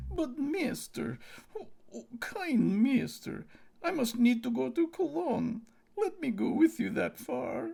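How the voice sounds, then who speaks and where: Using a put-on character voice, a man talks at a fairly slow pace in an extremely high pitch. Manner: whining, pleading.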